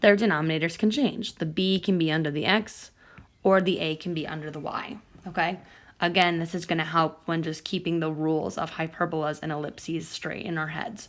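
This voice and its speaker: A woman with a plain, everyday voice speaks at a fairly quick pace and fairly low pitch. Her intonation is fairly even, on a very clean recording with a silent background. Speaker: math teacher. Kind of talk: tutorial.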